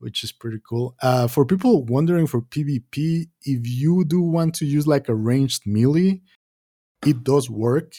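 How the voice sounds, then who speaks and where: A man with a non-native accent speaks at a fairly high pitch in a dark, mellow tone that is somewhat breathy. The sound is dry and close, with no echo. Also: ordinary pitch variation, moderate pace. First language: not English. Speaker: podcast co-host. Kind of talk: casual gaming chat.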